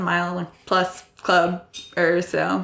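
Here a woman speaks with an American accent. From US Midwest, Iowa. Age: 30s. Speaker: backpacker. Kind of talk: interview.

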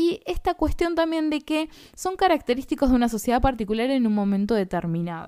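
A woman speaks at a fairly quick pace in a high pitch, her dark, mellow tone swinging very widely up and down. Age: 30s. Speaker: philosophy teacher. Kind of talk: lecture.

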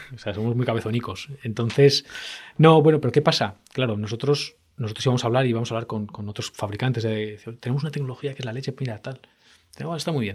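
This man has a medium pitch and a somewhat breathy voice. He talks at a very fast pace with ordinary pitch variation. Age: 40s. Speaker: tech entrepreneur and CEO. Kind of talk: interview.

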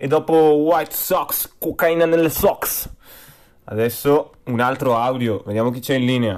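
A man at a medium pitch, fairly slow pace and animated tone, with ordinary pitch variation. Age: 20s. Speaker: music podcast host. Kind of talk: casual music show hosting.

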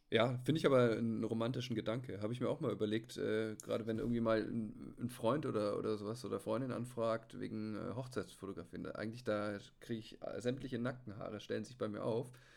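At a very fast pace, a man speaks at a medium pitch with vocal fry and fairly even intonation. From Bavaria (Munich). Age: 30s. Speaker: hobby photographer. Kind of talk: casual chat. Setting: remote call.

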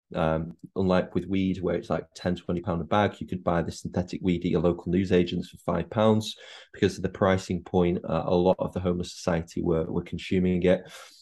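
A man with a Mancunian accent speaks at a fairly quick pace in a very deep, low voice, his dark, mellow tone held in a monotone, flat intonation against a quiet background. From Manchester (Chorlton), northern England. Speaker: actor. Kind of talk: casual chat.

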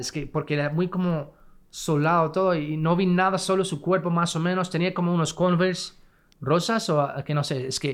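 A man with an English accent, a high pitch and ordinary pitch variation on a very clean recording with a silent background. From California, US (Fresno). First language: English (speaking Spanish). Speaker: podcast guest, married man. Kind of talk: casual chat.

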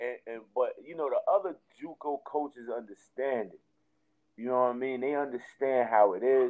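A speaker with an American accent talks at a moderate pace. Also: man. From Jersey City, New Jersey. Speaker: college basketball coach. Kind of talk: casual interview. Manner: animated.

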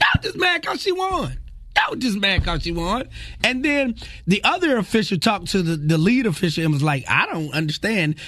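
With music in the background, a man speaks at a high pitch in a raised, projected voice, his tone animated and his pitch swinging very widely. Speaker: radio host. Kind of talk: radio DJ patter. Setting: studio. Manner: animated, rapid-fire, jokey banter.

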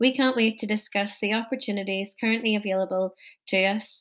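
A woman with a Northern Irish accent speaks at a moderate pace with fairly even intonation on a very clean recording with a silent background. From Northern Ireland. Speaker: podcast host. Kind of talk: scripted introduction.

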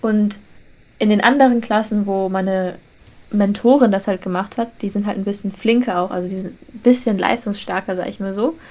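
With a dark, mellow tone and medium pitch, a woman talks at a moderate pace in fairly even intonation while her loudness swings widely. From northern Germany, Lüneburg. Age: young. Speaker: podcast co-host, university student. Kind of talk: casual chat.

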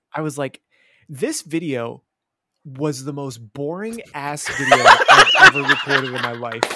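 Speaking slowly but not too slowly, a man uses a normal speaking voice. His pitch is fairly high, with ordinary pitch variation. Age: 30s. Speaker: YouTuber and chef. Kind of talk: casual chat.

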